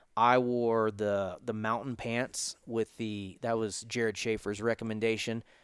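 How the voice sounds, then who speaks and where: A normal speaking voice with an American accent at a moderate pace, on a very clean recording with a silent background. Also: man. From Florida panhandle (Pensacola). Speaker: hunting podcast host. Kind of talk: casual chat. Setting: hunting lodge.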